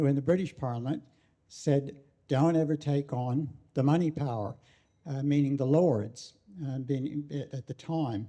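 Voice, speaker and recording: A man with an American accent talks at a moderate pace in a fairly high pitch, his tone dark and mellow, his intonation fairly even, with long, frequent pauses. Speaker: audience member at political talk. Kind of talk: public talk comment. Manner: halting, many fillers.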